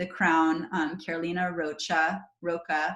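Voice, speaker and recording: A woman speaks in an animated tone. Her voice is somewhat breathy. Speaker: network marketing trainer. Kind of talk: online training call.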